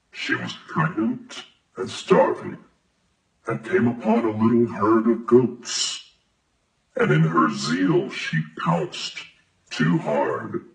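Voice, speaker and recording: Very wide pitch swings mark very slow speech broken by long, frequent pauses. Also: man, medium pitch for a man. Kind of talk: bedtime story. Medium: read story. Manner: calm, warm.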